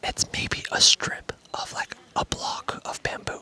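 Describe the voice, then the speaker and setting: A man is whispering, with noticeable background noise. The sound is dry and close, with no echo. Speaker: travel vlogger. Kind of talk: casual vlog narration. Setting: outdoors. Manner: casual with many fillers.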